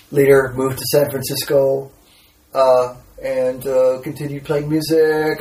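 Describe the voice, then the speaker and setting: With noticeable background noise behind him, a man with an American accent speaks in a fairly high voice. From Texas. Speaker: composer and musician. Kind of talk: casual chat.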